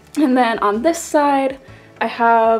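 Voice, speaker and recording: Music plays in the background as a woman speaks. Her intonation stays fairly even. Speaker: craft and sewing YouTuber. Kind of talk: studio tour vlog. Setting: home art and sewing studio. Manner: casual, with fillers.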